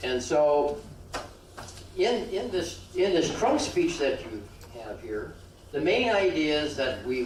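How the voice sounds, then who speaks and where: A man speaks at a very slow pace with long, frequent pauses. Audible room echo and noticeable background noise are present. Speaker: speech pathologist giving a public speaking workshop. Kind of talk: workshop talk. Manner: halting with repetitions; informal, joking.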